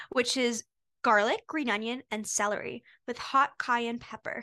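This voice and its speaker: Recorded dry and close with no echo against a quiet background, a woman speaks. She has an American accent and a fairly slow pace. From Maryland, US. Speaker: college student podcast co-host. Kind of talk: scripted casual chat.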